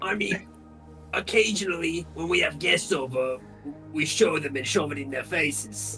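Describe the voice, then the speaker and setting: Clear music plays behind a man doing a raspy put-on character voice. He keeps to a moderate pace. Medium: actual play. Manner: halting, curt.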